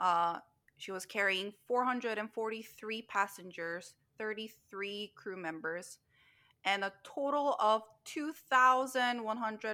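Speaking at a fairly slow pace, a woman uses a fairly high voice with a bright, sharp tone. She has a Korean accent and ordinary pitch variation. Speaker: podcast co-host. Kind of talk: casual chat.

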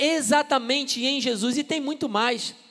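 A man speaks at a very slow pace. His pitch is extremely high. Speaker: pastor. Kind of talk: sermon. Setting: church.

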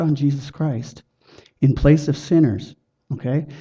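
His voice is fairly high for a man and somewhat breathy. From Chilliwack, British Columbia, Canada. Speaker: lay evangelist. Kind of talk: witnessing demonstration.

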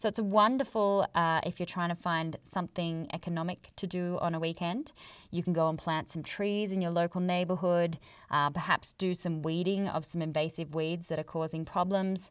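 On a very clean recording with a silent background, a woman with an Australian accent speaks in a fairly low voice with fairly even intonation. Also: moderate pace. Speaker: podcast host, conservation biologist, yoga teacher. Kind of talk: solo educational podcast monologue.

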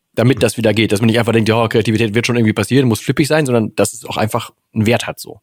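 A man with a medium pitch keeps his intonation fairly even while talking at a very fast pace. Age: 40s. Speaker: podcast host. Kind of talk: casual chat.

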